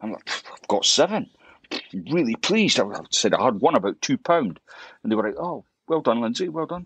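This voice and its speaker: With a Scottish accent, a man speaks at a fairly quick pace and a fairly high pitch. His voice swings very widely in pitch and carries vocal fry. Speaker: fly fishing YouTuber. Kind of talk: podcast interview. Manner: halting, many repetitions.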